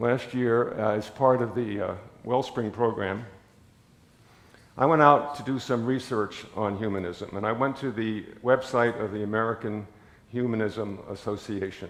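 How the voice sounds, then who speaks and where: Pausing long and often, a man with a medium pitch talks at a fairly slow pace with ordinary pitch variation and audible room echo. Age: 80s+. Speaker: lay preacher. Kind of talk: sermon. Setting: church.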